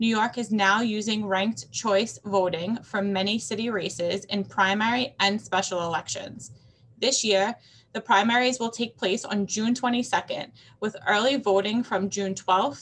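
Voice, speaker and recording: A somewhat breathy woman at a moderate pace, with ordinary pitch variation. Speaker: nonprofit director hosting webinar. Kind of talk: webinar welcome remarks. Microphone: webcam.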